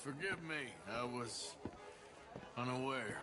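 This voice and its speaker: Putting on a character voice, a man speaks at a fairly slow pace with medium pitch over clear background noise. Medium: video game.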